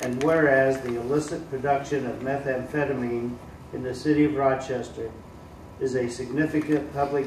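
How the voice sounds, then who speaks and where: A man's medium-pitched voice in an American accent, flat and monotone at a moderate pace, with audible room echo and noticeable background noise. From US Midwest. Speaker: city councilman. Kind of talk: reading aloud. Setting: public meeting. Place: meeting room. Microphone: podium.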